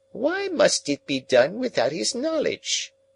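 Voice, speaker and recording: Using a squeaky put-on character voice, a man talks at a fairly slow pace. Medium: read story. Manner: brooding, abrupt outbursts.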